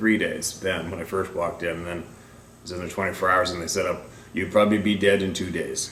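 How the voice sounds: With audible room echo, a man speaks at a fairly quick pace and a low pitch, his fairly bright tone showing little pitch movement.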